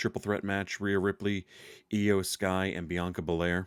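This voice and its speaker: Quiet, monotone, flat intonation at a fairly slow pace. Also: man. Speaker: wrestling podcast host. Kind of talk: casual solo podcast recap. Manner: speaking quietly; hesitant, many fillers.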